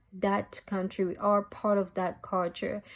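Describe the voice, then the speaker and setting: Intonation stays flat and monotone for this woman with a French accent. She talks at a fairly slow pace. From DR Congo. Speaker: university student. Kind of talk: student presentation.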